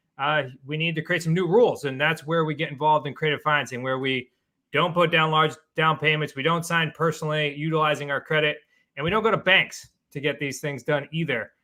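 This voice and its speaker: A man talks with a New England accent at a fairly high pitch. His pace is fairly quick and his intonation fairly even. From Massachusetts, New England. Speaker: real estate investor and coach. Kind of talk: interview.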